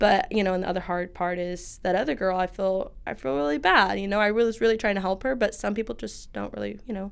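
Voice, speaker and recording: This woman talks very fast, barely pausing at all. Her voice sits at a medium pitch with ordinary variation. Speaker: hair salon owner. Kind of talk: interview. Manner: loud, bubbly.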